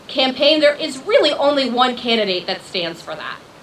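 A woman speaks at a high pitch and a moderate pace, with very wide pitch swings. Noticeable background noise is present. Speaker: attorney. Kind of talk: speech. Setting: stage with audience. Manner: animated.

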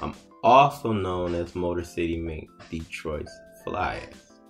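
Faint music plays in the background as a man with a very deep, low pitch speaks at a fairly slow pace. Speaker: show host telling his life story. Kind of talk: casual monologue vlog.

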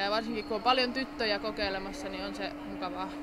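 Noticeable background noise under a woman's moderate-paced speech. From Finland, Orivesi. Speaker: ice hockey player. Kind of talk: casual interview. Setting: ice rink event. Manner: casual, colloquial. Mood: relaxed, friendly. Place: hall. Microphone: handheld.

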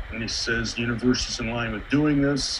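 The speech comes at a very fast pace, with noticeable background noise behind it. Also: man. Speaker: astronomy club member. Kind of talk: club business meeting. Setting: video call.

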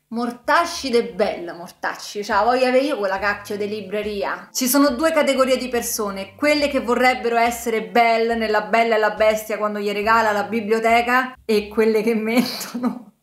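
A woman with a fairly high pitch and ordinary pitch variation speaks at a moderate pace with hardly any pauses, and audible room echo surrounds her. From Italy. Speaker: book YouTuber. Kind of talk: casual vlog monologue. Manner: animated. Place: home room.

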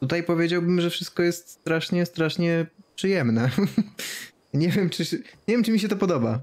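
A man with a Polish accent speaks at a moderate pace, leaving long, frequent pauses. The background is quiet. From Poland. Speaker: streamer. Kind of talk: casual chat. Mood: amused, excited. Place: home room. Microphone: studio mic.

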